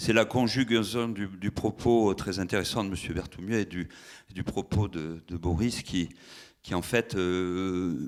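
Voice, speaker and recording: Fairly low in pitch, a man speaks with fairly even intonation. The recording is very clean, with a silent background. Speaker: municipal green spaces manager. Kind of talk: conference talk. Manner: loud.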